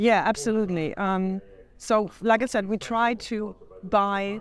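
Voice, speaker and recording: A woman's medium-pitched voice in a German accent, at a moderate pace with fairly even intonation. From Germany, Hamburg. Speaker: riding apparel designer and company founder. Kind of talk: interview.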